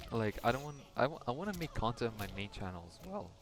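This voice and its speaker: Against background music, a man with a non-native accent speaks with lively intonation. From Europe. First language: not English. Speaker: solo podcaster / YouTuber. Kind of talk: casual solo ramble while gaming. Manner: halting, with pauses and stutters. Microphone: quiet microphone.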